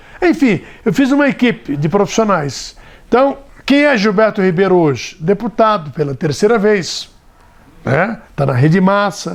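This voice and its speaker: At a fairly slow pace, a man with a high voice speaks with very wide pitch swings. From Brazil, São Paulo state interior. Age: 60s. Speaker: radio broadcaster and politician. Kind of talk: interview testimony. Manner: conversational, with fillers and hesitations.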